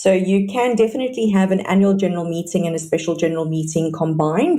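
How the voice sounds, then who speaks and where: A woman speaks at a fairly low pitch with ordinary pitch variation over noticeable background noise. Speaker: sectional title property expert. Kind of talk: interview on property law. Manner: fast.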